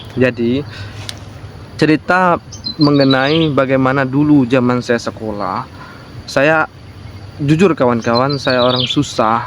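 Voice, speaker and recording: A man's very slow delivery with long, frequent pauses over noticeable background noise. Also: medium pitch for a man, ordinary pitch variation. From Jambi, Sumatra, Indonesia. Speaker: vlogger. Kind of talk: casual personal vlog talk. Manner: halting, with many fillers.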